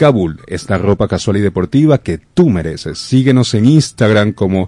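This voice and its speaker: A man's dark, mellow tone and lively intonation at a fairly slow pace, in a dry, close sound with no echo against a quiet background. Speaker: radio host. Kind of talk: news reading. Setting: radio studio. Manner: formal.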